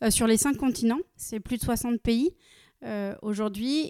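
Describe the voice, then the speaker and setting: A woman's fairly high-pitched, dark, mellow voice at a very slow pace, dry and close with no echo, in a very clean recording with a silent background. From France, Nancy (Lorraine). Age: 30s. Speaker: company director. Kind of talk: interview. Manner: frequent hesitations (euh).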